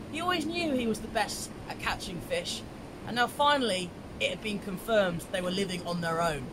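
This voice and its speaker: Over noticeable background noise, a man with a high pitch talks at a fairly quick pace with lively intonation. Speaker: storyteller. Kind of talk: storytelling. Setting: outdoors in a river. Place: waterside. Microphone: camera far.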